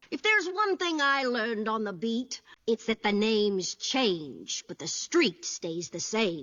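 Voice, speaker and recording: Using a cartoonish character voice, a woman speaks at a fairly slow pace with fairly high pitch, very wide pitch swings and hardly any pauses. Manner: blunt, gruff, sarcastic.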